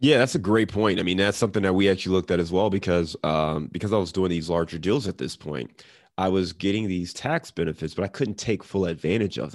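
With an American accent, a man speaks at a very fast pace with hardly any pauses. His very deep, low pitch shows ordinary variation, over a quiet background. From US Midwest, Cleveland, Ohio. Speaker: real estate investor. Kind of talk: interview. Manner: casual.

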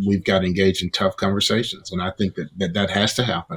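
Speaking with a Southern US accent, a man keeps his intonation fairly even. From Mississippi, deep South US. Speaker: pastor. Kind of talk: interview discussion.

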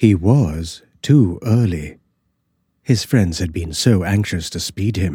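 With a dark, mellow tone and a very deep, low pitch, a man talks at a very slow pace in a somewhat breathy voice with lively intonation, captured in a very clean recording against a silent background. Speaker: audiobook narrator. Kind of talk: scripted horror story narration, reading aloud. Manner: hushed, slow, suspenseful, eerie.

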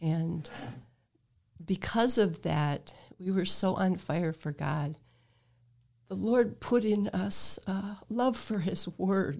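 Very slowly, with long and frequent pauses, a woman with an American accent talks in a medium pitch and a dark, mellow, somewhat breathy tone, her pitch varying in an ordinary way. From US Midwest, Toledo Ohio. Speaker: retired pastor. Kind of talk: casual chat.

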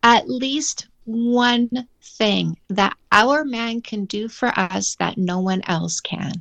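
A woman with a Canadian accent speaks at a very slow pace and hardly any pauses, her fairly high pitch showing ordinary variation. The sound is dry and close, with no echo. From Canada. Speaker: dating coach and author. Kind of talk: casual interview chat.

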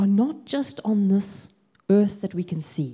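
A somewhat breathy voice with a dark, mellow tone and a South African accent. It moves at a fairly slow pace. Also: woman. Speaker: pastor. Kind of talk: sermon. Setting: church.

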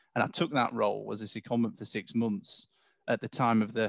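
A man with an English accent over a quiet background. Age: 40s. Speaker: company CEO. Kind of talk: interview.

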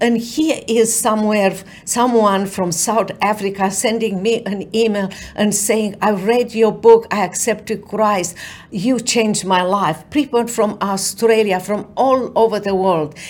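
A woman speaks in a Romanian accent at a medium pitch. Her pace is fairly slow and her intonation fairly even. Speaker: author, attorney and keynote speaker. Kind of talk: interview with inspirational talk. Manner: earnest, faith-driven.

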